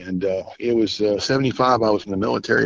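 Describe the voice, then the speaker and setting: A man with an unremarkable speaking voice, fairly low in pitch, with ordinary pitch variation and a fairly quick pace. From Southern California. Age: 60s. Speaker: military veteran. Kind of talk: eyewitness testimony.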